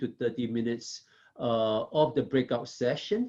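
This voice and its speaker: A man speaks with a Southeast Asian accent. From Singapore. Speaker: professor. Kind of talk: lecture. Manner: frequent fillers and tag questions.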